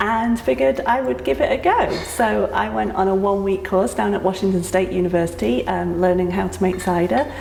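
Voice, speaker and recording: A woman with a British accent speaks at a fairly quick pace with hardly any pauses and very even loudness. Audible room echo and noticeable background noise fill the recording. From UK. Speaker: cidery owner. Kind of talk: casual interview. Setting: on location at a cidery.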